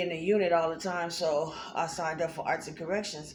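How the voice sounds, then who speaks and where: A woman's fairly low, monotone, flat voice at a moderate pace, with audible room echo. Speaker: art teacher. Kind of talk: tutorial. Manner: halting.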